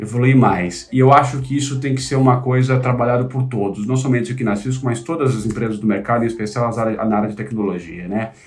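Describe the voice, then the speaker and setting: This man speaks very fast at a medium pitch, with ordinary pitch variation. He hardly pauses at all. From São Paulo city, Brazil (north zone). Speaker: tech company executive. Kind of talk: interview.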